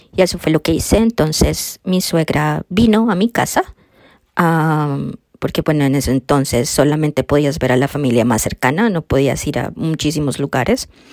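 In a very clean recording with a silent background and a dry, close sound free of echo, a woman speaks at a moderate pace with lively intonation and a very deep, low pitch. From Colombia. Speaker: podcast host, quilter. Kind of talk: solo monologue podcast.

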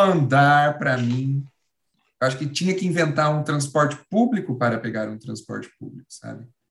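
Somewhat breathy, a man talks at a fairly high pitch. His pace is moderate and his pitch varies in an ordinary way. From São Paulo. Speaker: actor and comedian. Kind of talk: casual chat.

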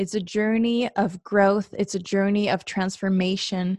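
In a Norwegian accent, a woman speaks at a fairly slow pace with a medium pitch and monotone, flat intonation. The recording is very clean with a silent background and a dry, close sound with no echo. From Norway. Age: 20s. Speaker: podcast host. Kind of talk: solo monologue. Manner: hesitant, many fillers.

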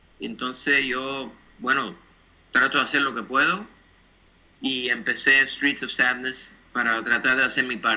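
A man speaks with a bright, sharp tone. He leaves long, frequent pauses. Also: medium pitch for a man, fairly slow pace. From Cuba, then Miami from childhood. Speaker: graphic designer. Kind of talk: interview. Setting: video call. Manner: halting, with repeated words.

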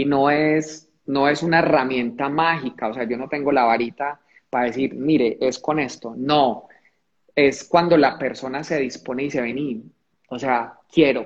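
At a fairly slow pace, a man talks with a fairly high pitch and fairly even intonation. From Colombia, Pereira (coffee region). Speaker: motivational speaker. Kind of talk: livestream conversation. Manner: repetitive, halting.

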